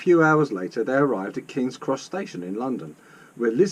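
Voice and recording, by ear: Reading aloud, the voice sounds natural.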